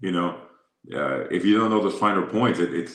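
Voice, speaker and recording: Fairly quickly, a man talks with vocal fry and ordinary pitch variation. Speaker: boxing and MMA ring announcer, former radio host. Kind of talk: interview answer.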